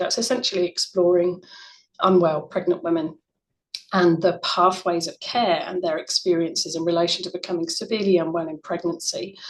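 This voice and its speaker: With an English accent, a woman talks at a fairly quick pace in a fairly low pitch. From UK. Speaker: researcher, former neonatal nurse. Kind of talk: conference presentation. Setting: online conference.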